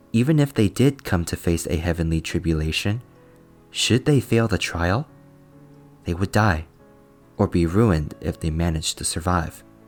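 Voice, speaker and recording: Music plays in the background while a man talks. His pace is moderate and his intonation lively. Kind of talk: fantasy novel narration. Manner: soft, relaxing.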